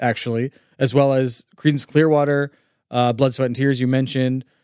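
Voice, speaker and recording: A man with an unremarkable speaking voice talks at a moderate pace and medium pitch, in a dry, close sound with no echo. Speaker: podcast host. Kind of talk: casual chat.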